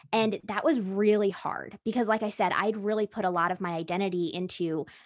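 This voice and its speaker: In a quiet background, a woman uses an ordinary speaking voice at a medium pitch and moderate pace, with fairly even intonation. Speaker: podcast manager. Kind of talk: casual chat.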